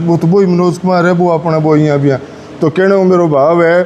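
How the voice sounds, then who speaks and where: The man's voice sits high in pitch, with fairly even intonation. Noticeable background noise is present. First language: Rajasthani (speaking Hindi). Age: 60s. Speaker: journalist and Rajasthani language advocate. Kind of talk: speech to students.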